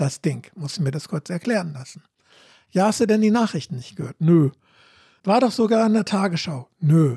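At a moderate pace, a man with a high voice and a dark, mellow tone speaks with lively intonation, leaving long, frequent pauses. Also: dry, close sound with no echo. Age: 70s. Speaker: anti-nuclear activist, trained teacher. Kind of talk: debate.

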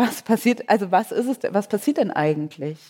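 A woman's voice with a dark, mellow tone. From Germany, Cologne. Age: 30s. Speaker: author. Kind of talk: onstage interview. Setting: stage with audience.

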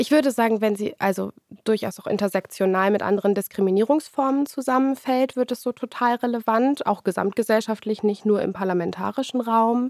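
Fairly high in pitch, a woman with a normal speaking voice talks at a fairly quick pace with hardly any pauses and ordinary pitch variation, in a dry, close sound with no echo. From Germany, Lower Saxony (Hildesheim). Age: 20s. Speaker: politician. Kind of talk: interview.

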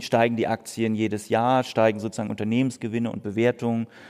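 A man speaks at a moderate pace in a medium pitch, his dark, mellow tone delivered with monotone, flat intonation. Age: 40s. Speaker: economist. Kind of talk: live podcast conversation. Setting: stage with audience.

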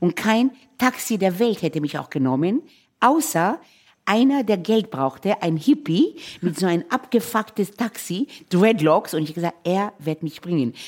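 A woman at a medium pitch speaks at a fairly slow pace with very wide pitch swings, on a very clean recording with a silent background. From Israel, Tel Aviv. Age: 60s. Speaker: chef and restaurateur. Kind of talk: casual chat while cooking.

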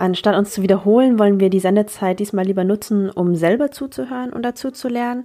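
At a fairly quick pace, a woman speaks with a dark, mellow tone, medium pitch and ordinary pitch variation. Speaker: journalist and podcast co-host. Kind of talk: podcast intro and outro.

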